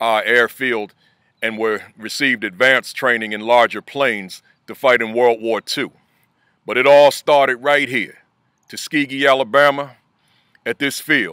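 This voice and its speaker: With a bright, sharp tone and long, frequent pauses, a man speaks in a dry, close sound with no echo. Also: medium pitch for a man, fairly even intonation. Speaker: school principal. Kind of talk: motivational video message. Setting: outdoors. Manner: fast.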